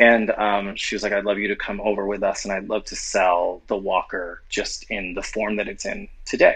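Delivered at a moderate pace. There are hardly any pauses. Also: man. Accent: American. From US South, New Orleans. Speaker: actor and TV writer-director. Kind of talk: casual interview. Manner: halting, many false starts.

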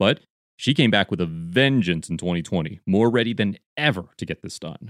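A man speaks at a fairly quick pace in a normal speaking voice, with lively intonation and a dry, close sound with no echo. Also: quiet background. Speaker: podcast host. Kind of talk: podcast intro and interview.

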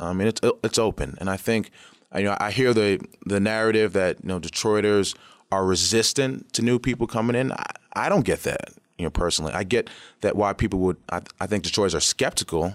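Over a very clean recording with a silent background, a man with an American accent talks fairly quickly at a fairly low pitch, using ordinary pitch variation. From New York City, Queens. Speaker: company founder. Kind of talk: interview. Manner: halting, many fillers.

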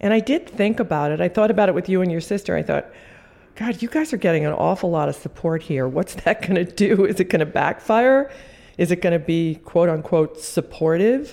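Her voice at a medium pitch, a woman speaks at a fairly quick pace in a dark, mellow tone with lively intonation. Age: 60s. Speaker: visual artist. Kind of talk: interview, reflective conversation.

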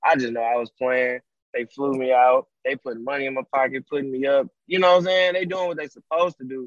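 A man with an unremarkable speaking voice talks at a fairly quick pace and medium pitch, with ordinary pitch variation and a dry, close sound with no echo. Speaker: music producer. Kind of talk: casual interview. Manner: laid-back, filler-heavy.

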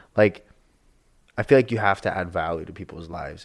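A man speaks in a very deep, low voice with an American accent. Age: 20s. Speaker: realtor. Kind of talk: casual chat. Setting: studio.

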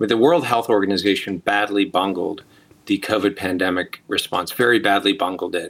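The speaker is a man with an American accent. His fairly low voice has a bright, sharp tone. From US, California. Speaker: bioethicist and author. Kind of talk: interview.

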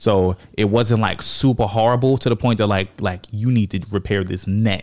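This man keeps a moderate pace and a fairly low pitch. His pitch varies in an ordinary way. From Virginia, US. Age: 30s. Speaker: comedian and army veteran. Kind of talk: casual chat.

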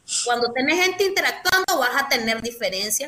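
A woman's voice with very wide pitch swings, set against noticeable background noise. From Nicaragua, León. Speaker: political activist. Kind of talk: interview.

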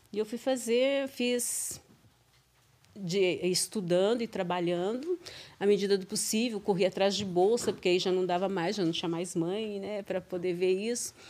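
Ordinary pitch variation accompanies speech delivered at a moderate pace. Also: woman, medium pitch for a woman. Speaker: teacher, mother of co-host. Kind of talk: casual interview. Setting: studio.

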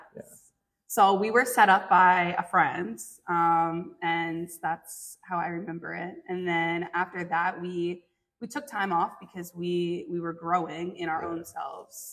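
A woman's fairly low-pitched voice at a fairly slow pace, with big swings in loudness. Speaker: podcast host. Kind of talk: interview. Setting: instagram live stream.

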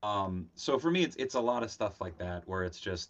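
Using lively intonation, a man talks at a moderate pace in a fairly low pitch. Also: quiet background. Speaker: toy collector and streamer. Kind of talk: casual chat. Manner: halting.

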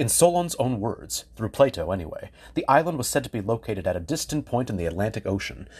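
Over a quiet background, a man talks at a very fast pace in a medium pitch with very wide pitch swings and vocal fry. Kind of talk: history documentary narration. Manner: measured, formal, polished scripted delivery; clear, steady storyteller pacing with explanatory emphasis.

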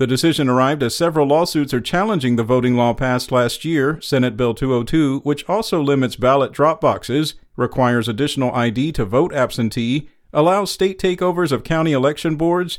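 An ordinary speaking voice moves at a fairly quick pace with lively intonation. Its loudness stays very even. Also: man. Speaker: news reader. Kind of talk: formal news reading, scripted daily headlines bulletin. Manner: formal, even and measured; steady, clear newsreader delivery, neutral and unemotional.

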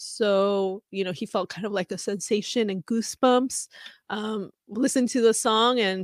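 A woman's normal speaking voice, medium in pitch, with fairly even intonation at a moderate pace, in a dry, close sound with no echo. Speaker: fan podcast host. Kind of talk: casual solo podcast reading fan comments. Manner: casual, frequent laughs and fillers.

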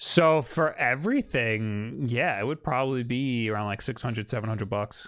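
A man talks with a Long Island accent. He leaves hardly any pauses. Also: medium pitch for a man, ordinary pitch variation, moderate pace. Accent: Long Island New York. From Long Island, New York. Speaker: podcast host. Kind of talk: casual chat. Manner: loud, animated.

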